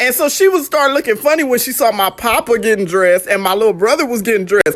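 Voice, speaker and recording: A woman talks very fast and loudly in a fairly high, animated voice with very wide pitch swings, over noticeable background noise. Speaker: vlogger remembering late grandparents. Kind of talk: casual storytelling vlog.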